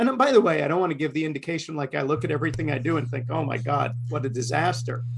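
A man with an American accent talks very fast, with hardly any pauses, in a fairly high pitch and ordinary pitch variation. His voice is somewhat breathy. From Queens, New York. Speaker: comics creator. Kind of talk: casual chat, podcast interview. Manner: animated, talkative.

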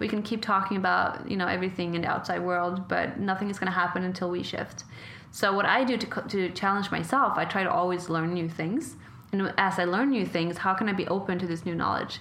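A woman's medium-pitched voice moves at a fairly quick pace with fairly even intonation, with audible room echo. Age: 20s. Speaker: podcast host and model. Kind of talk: interview conversation.

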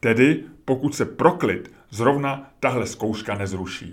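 The man's pitch leaps very widely up and down. There is vocal fry in his voice. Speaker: podcaster and writer. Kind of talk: reading aloud.

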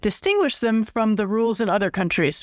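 A woman's fairly high, fairly quick, plain, everyday voice with lively intonation, dry, close sound with no echo and a very clean recording with a silent background. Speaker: podcast host. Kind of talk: scripted-style discussion of news and business. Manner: formal.

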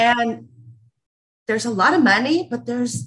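A woman with an American accent speaks at a medium pitch, her voice showing vocal fry. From Los Angeles, US West Coast. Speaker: small business owner. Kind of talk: casual interview.

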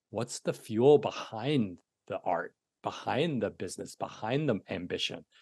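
Recorded with a dry, close sound with no echo and a quiet background, a man speaks in an American accent at a fairly slow pace. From US, New York City. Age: 40s. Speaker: coach and content creator. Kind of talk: casual interview chat. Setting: remote call. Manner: chatty.

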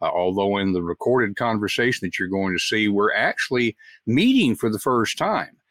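Recorded dry and close with no echo, a man speaks with a Southern US accent and lively intonation. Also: very clean recording, silent background. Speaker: podcast host. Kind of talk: interview conversation. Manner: warm, chatty.

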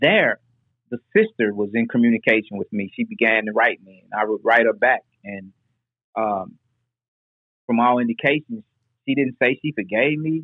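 With an American accent, a man speaks at a moderate pace and medium pitch, his loudness swinging widely between long, frequent pauses. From Nashville, Tennessee (US South). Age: 40s. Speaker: formerly incarcerated justice reform advocate. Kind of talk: interview.

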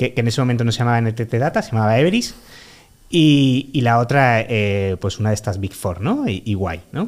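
At a moderate pace, a man of medium pitch speaks with ordinary pitch variation in an unremarkable speaking voice. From Málaga, Andalusia, Spain. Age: 30s. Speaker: freelance product consultant. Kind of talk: casual interview.

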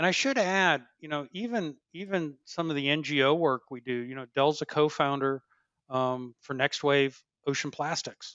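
At a moderate pace, a man with an American accent speaks in an unremarkable speaking voice, fairly high in pitch, with ordinary pitch variation. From upstate New York (Dryden, near Ithaca). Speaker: packaging engineering lead at a tech company. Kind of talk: interview.

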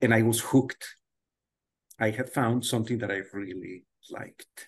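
A man speaks at a moderate pace, somewhat breathy. The background is quiet. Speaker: math professor. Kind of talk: casual interview conversation.

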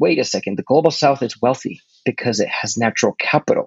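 A man talks with lively intonation, vocal fry and a slightly husky edge.

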